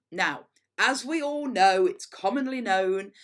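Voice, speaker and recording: A woman with an East Midlands accent is heard in a very clean recording against a silent background. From England, Derbyshire (Mickleover, Derby). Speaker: headteacher. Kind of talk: school assembly talk.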